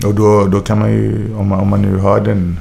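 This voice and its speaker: A man's voice carries audible room echo, with noticeable background noise underneath. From Sweden, Gothenburg (Majorna). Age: 20s. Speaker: rapper. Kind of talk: interview.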